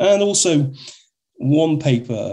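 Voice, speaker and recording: With a British accent, a man speaks in a dark, mellow, somewhat breathy tone and lively intonation. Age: 50s. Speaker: army warrant officer and doctrine writer. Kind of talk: interview.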